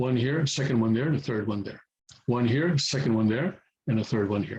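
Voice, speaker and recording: A man talks at a moderate pace. His medium-pitched voice is somewhat breathy. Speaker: Korean language teacher. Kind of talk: tutorial. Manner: halting, many fillers.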